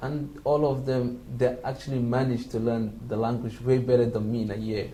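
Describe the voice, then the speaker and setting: A man with a Somali accent, medium-pitched and monotone, flat in intonation, at a moderate pace, with audible room echo. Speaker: international student. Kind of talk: interview. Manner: halting.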